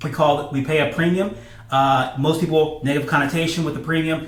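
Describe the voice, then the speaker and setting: A man speaks at a fairly quick pace and a fairly high pitch with fairly even intonation. Audible room echo and noticeable background noise fill the recording. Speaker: financial educator. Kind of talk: explainer video. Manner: fast; many fillers and repetitions.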